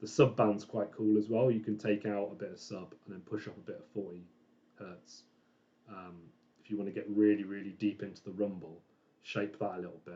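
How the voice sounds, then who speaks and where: A man's fairly low, dark and mellow voice, relaxed in tone, with big swings in loudness, ordinary pitch variation and a fairly quick pace. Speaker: audio mastering engineer. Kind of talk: casual vlog tutorial. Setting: home dining room.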